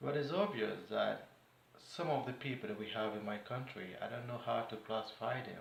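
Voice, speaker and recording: In a room with audible echo and noticeable background noise, a man talks at moderate pace and medium pitch with ordinary pitch variation. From Nigeria. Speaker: vlogger. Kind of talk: political commentary monologue. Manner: animated.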